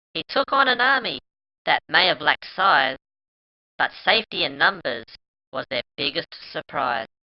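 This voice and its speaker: A put-on character voice at middle pitch, with very wide pitch swings, a moderate pace and long, frequent pauses. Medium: read story. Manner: busy, old-fashioned phrasing.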